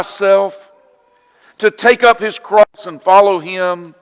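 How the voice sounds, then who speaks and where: In a Southern accent, a man with a high voice speaks up in a raised, projected way at a fairly slow pace, recorded dry and close with no echo. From US South, Northwest Florida. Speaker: preacher. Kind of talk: sermon.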